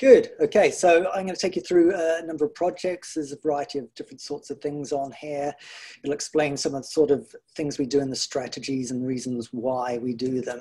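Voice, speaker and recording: Against a quiet background, a man with a New Zealand accent speaks in a relaxed, dark, mellow tone with ordinary pitch variation. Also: fairly high pitch for a man, fairly quick pace. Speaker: garden project organiser. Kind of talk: illustrated talk. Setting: video call. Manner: relaxed, frequent hedges like 'sort of'. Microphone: video call.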